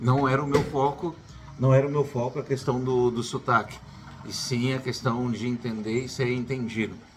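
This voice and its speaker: The man's intonation is monotone and flat, at medium pitch. He keeps a moderate pace over noticeable background noise. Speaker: YouTuber, educator. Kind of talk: casual vlog advice.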